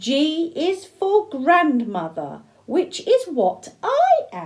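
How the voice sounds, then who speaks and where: At a very slow pace, a woman uses a put-on character voice with an extremely high pitch. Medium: read story. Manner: stern, precise.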